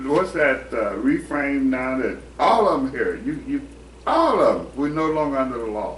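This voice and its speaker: Noticeable background noise and audible room echo fill the recording. The pace of speech is moderate. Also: man. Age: 70s. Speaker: participant in Bible study discussion. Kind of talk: casual chat.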